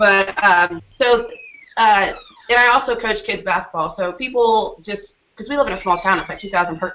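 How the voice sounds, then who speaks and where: A woman with an American accent and a plain, everyday voice talks at a fairly quick pace with ordinary pitch variation. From Joplin, Missouri. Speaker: gym owner and bodybuilding competitor. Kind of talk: casual chat.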